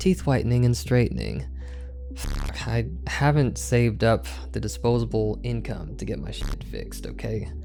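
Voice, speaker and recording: A man is speaking with music in the background. Audible room echo surrounds his voice. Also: moderate pace. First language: not English. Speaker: YouTuber. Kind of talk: casual commentary video.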